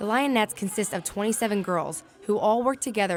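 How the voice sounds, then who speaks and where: With ordinary pitch movement, fairly quick speech runs over background music. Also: woman. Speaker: sports broadcaster, sideline reporter. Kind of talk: TV sports news reporting and interviewing. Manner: clear, polished, broadcast delivery.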